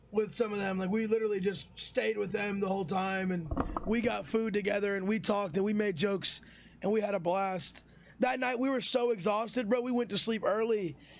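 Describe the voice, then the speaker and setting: Amid noticeable background noise, a man with a high pitch and an animated tone speaks at a fairly quick pace. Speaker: streamer. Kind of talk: storytime vlog. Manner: loud, animated.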